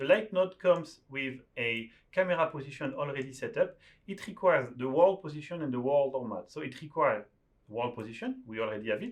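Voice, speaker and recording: A man with a French accent, fairly high-pitched and fairly quick. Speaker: software developer teaching a tool. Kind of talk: screen-share tutorial.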